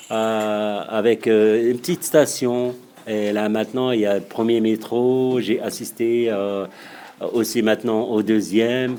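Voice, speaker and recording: Speaking very slowly in a North African accent, a man holds a medium pitch and fairly even intonation. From Morocco. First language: Berber (speaking French). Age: 50s. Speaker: local resident, amateur chess instructor. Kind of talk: interview answering children's questions. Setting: classroom. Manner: halting, many hesitations and repetitions.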